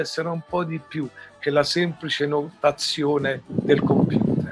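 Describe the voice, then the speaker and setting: Music plays in the background as a man speaks. His intonation stays fairly even. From Italy. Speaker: musician. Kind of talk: interview answer.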